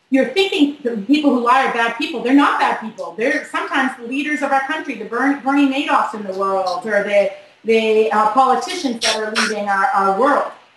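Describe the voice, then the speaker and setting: A high-pitched woman speaks with ordinary pitch variation amid audible room echo and noticeable background noise. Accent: American. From Boston, US. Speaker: body language expert. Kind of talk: interview. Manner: fast.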